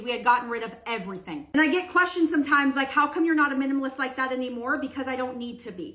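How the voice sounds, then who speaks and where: Her voice is raised and projected, high in pitch, with a bright, sharp tone. This woman talks at a very fast pace. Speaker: social media creator on decluttering and routines. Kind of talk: storytime while doing her hair. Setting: at home doing her hair. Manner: loud.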